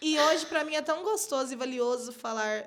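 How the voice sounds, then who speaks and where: Her intonation is lively. This woman speaks at a moderate tempo. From Minas Gerais, Brazil (born in São Paulo). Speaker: podcast host. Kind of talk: casual chat.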